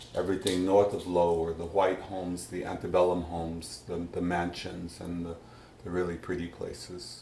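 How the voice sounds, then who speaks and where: With an American accent, a man speaks at a moderate pace in a very deep, low pitch, his tone dark and mellow, somewhat breathy, and his intonation monotone and flat. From Huntsville, Alabama. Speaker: oral history interviewee. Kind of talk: interview answer. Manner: hesitant, conversational.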